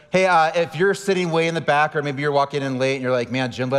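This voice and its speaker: Amid noticeable background noise, a man with an American accent talks at a very fast pace in a fairly high pitch. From San Diego, California. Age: 40s. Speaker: pastor. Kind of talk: sermon.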